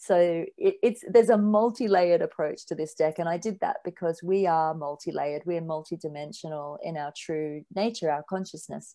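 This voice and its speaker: Against a quiet background, a woman with an Australian accent speaks at a moderate pace with hardly any pauses, her tone dark and mellow and her pitch fairly low. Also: ordinary pitch variation. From rural Australia. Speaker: spiritual author. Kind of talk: podcast interview.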